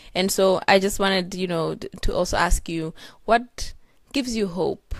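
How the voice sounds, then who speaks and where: A woman talks fairly slowly on a very clean recording with a silent background. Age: young. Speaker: interviewer. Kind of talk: interview. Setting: live at a conference in Geneva. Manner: halting, many fillers.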